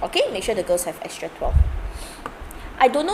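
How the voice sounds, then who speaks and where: A voice with a Singaporean accent over noticeable background noise. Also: woman. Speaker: maths tutor. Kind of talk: live online tutorial. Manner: casual, chatty.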